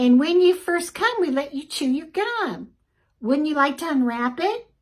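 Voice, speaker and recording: A woman does a squeaky, put-on character voice, high in pitch with very wide pitch swings. She speaks at a moderate pace. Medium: read story. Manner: sugary-sweet.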